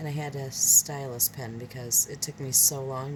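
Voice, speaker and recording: A soft-spoken woman with an American accent talks at a fairly slow pace in a very deep, low pitch. Her pitch variation is ordinary, and there is noticeable background noise. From Michigan, US. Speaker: craft video creator. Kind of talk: tutorial. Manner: hesitant, many fillers.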